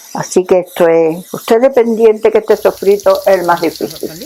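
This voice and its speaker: A woman talks at a medium pitch. Noticeable background noise comes through behind her. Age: 80s+. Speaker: home cook, former restaurant owner. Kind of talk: cooking demonstration.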